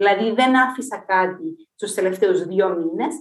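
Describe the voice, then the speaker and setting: A woman speaks at a fairly slow pace with lively intonation, and audible room echo fills the space. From Cyprus. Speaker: physicist and university lecturer. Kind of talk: casual interview.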